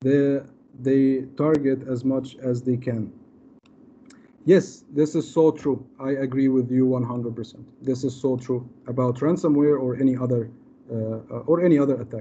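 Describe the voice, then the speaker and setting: Against light background noise, a man speaks with a dark, mellow tone and fairly even intonation. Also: moderate pace. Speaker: cyber security presenter; presenter. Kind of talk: webinar Q&A. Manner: hesitant, many fillers. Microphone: video call.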